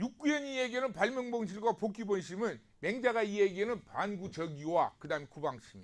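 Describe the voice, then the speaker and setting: Here a man talks at a fairly quick pace with a high pitch. His pitch swings very widely. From South Korea, Namwon, North Jeolla. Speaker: professor. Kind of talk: lecture. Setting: recorded video lecture. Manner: conversational, with frequent rhetorical questions.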